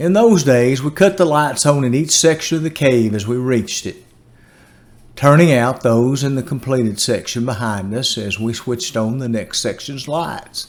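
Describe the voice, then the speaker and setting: This man speaks with a Tennessee accent at a medium pitch, and his pitch variation is ordinary. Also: moderate pace. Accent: Southern US (Tennessee). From US South, Tennessee. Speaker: storyteller. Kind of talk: storytelling.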